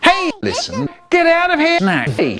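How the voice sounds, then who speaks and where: A put-on character voice, squeaky and extremely high-pitched, at a moderate pace with faint music in the background. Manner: funny, silly voice.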